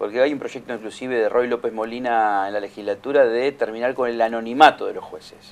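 A man races along at a very fast pace with hardly any pauses, his monotone, flat delivery marked by big swings in loudness. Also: medium pitch for a man. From Argentina. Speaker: tv news host. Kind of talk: studio interview. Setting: studio. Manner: halting. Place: studio. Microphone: studio mic.

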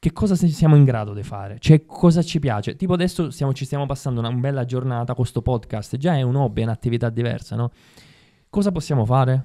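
Talking at a very fast pace against a quiet background, a man has a dark, mellow tone and ordinary pitch variation. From Sicily (Ribera); Sicily. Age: 30s. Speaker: actor. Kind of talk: casual interview chat. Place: studio. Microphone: studio mic.

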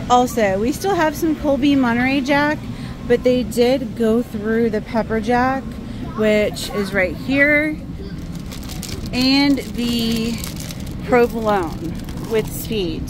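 With noticeable background noise behind her, a woman talks at a very slow pace with ordinary pitch variation and long, frequent pauses. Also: dry sound with no echo. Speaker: shopping vlogger. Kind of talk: casual vlog chat. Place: shop. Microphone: phone near.

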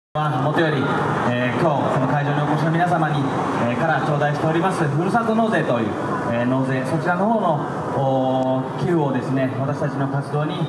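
A man's fairly quick speech with ordinary pitch variation against loud background noise. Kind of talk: formal public greeting speech. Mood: polite, formal. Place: street. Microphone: pa.

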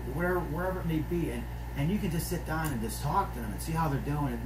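Very fast speech from a man, with noticeable noise behind it. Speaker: pastor. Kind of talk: sermon. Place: office. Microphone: phone near.

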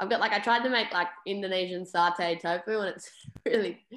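In a quiet background with audible room echo, a woman speaks with an Australian accent and ordinary pitch variation. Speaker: punk band singer. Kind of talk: casual interview. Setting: video call. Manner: animated. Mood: cheerful, laughing, relaxed. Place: home room. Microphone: video call.

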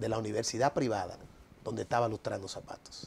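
A man talks at a fairly quick pace in a dark, mellow tone. Light background noise sits behind him. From Dominican Republic. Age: 40s. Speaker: economist and political movement leader. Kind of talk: TV interview. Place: studio. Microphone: lapel.

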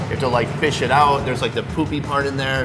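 A man is speaking. Music plays in the background. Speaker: food vlogger host. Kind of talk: casual food tasting commentary. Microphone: lapel.

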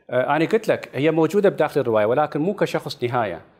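The man's voice moves in very wide pitch swings. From Iraq. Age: 50s. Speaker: novelist; interview guest. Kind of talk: interview. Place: studio. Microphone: lapel.

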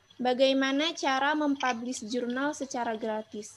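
Over light background noise, a woman with a high voice speaks at a fairly slow pace with fairly even intonation. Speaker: student moderator. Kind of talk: webinar moderation. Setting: video call. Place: home room. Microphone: video call.

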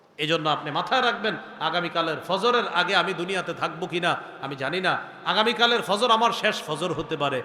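A man speaks at a high pitch with ordinary pitch variation. Noticeable background noise is heard. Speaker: Islamic scholar, waz preacher. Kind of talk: Islamic sermon (waz) delivered to an audience. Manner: conversational, rhetorical questions, earnest.

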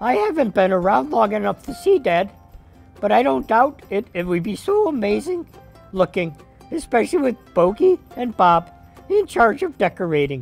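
Faint music plays behind a cartoonish character voice that sits at a fairly high pitch and swings very widely in pitch. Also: moderate pace. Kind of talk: children's puppet show. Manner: excited.

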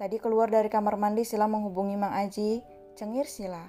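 Reading aloud, plainly done

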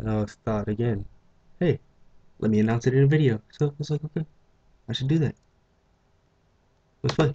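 This man talks at a fairly quick pace with long, frequent pauses, a somewhat breathy voice and ordinary pitch variation. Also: dry, close sound with no echo. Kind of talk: let's play gaming commentary.

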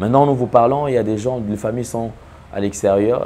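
Ordinary pitch variation marks a man's speech at a fairly quick pace. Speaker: TV commentator, host. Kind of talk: commentary. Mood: grave, sympathetic. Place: studio. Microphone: lapel.

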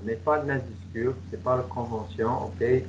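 Somewhat breathy and with lively intonation, a man speaks very slowly in an English Canadian accent over light background noise. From Canada, Toronto. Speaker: English coach and trainer. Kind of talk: webinar presentation. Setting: video call. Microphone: headset.

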